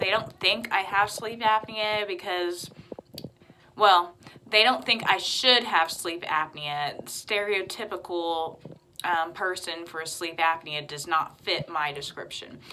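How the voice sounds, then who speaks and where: Over noticeable background noise, a woman talks at a very slow pace with ordinary pitch variation and big swings in loudness. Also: medium pitch for a woman. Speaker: vlogger. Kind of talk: casual chat.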